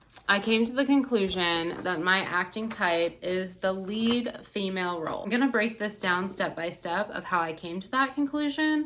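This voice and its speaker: At a moderate pace and medium pitch, a woman speaks with lively intonation and hardly any pauses. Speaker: acting student. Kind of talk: class presentation. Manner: calm.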